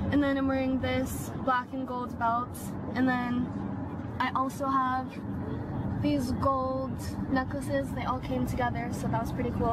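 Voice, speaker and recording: A woman talks at a moderate pace over loud background noise, the sound dry with no echo. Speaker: vlogger. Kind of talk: casual vlog chat. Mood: cheerful, excited. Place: car. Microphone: phone near.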